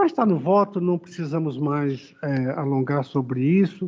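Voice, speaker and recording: A man with a fairly high pitch talks at a fairly slow pace, his pitch varying in an ordinary way. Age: 60s. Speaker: judge. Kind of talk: court deliberation. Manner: halting; emphatic.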